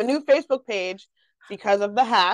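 An ordinary speaking voice from a woman at a moderate pace with ordinary pitch variation, in a dry, close sound with no echo and a quiet background. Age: 30s. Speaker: podcast host. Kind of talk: casual interview chat.

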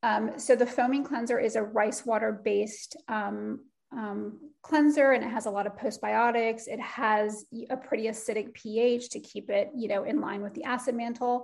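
A woman speaks at a fairly high pitch with vocal fry. Her pace is moderate and her intonation fairly even. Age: 40s. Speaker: skincare brand co-founder, former beauty editor. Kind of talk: interview.

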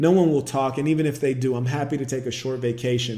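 The passage is read aloud. It comes out in a natural voice.

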